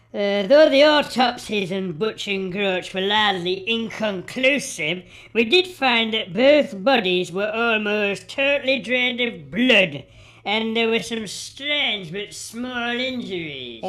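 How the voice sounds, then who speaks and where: Using a put-on character voice, a woman speaks at a fairly slow pace with a fairly high pitch and lively intonation. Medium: audio drama.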